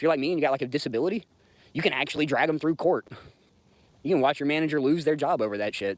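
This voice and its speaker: Recorded very cleanly against a silent background, an American man with a fairly high pitch talks in an animated tone at a very fast pace. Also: dry, close sound with no echo. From US South, Georgia. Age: 30s. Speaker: livestreamer. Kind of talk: casual livestream chat.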